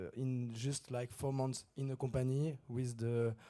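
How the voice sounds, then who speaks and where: A man with a French accent speaks at a medium pitch and a fairly slow pace. His tone is dark and mellow, with monotone, flat intonation. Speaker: conference speaker. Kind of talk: conference Q&A. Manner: halting.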